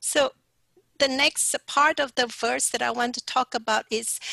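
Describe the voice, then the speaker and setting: A woman with a high pitch and a bright, sharp tone speaks very slowly, with fairly even intonation, in a dry sound with no echo and a quiet background. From Sarawak, Malaysia. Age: 60s. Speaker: pastor; speaker. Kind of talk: sermon. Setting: video call. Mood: warm, encouraging. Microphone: headset.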